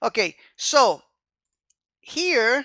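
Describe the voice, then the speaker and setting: This recording is very clean, with a silent background. A non-native accent can be heard in the speech. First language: not English. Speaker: programming instructor. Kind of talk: tutorial. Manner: casual, frequent fillers like um and okay.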